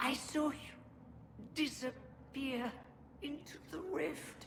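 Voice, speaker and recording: Over clear background noise, a woman does a put-on character voice at a high pitch and a very slow pace. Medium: video game. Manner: urgent, strained.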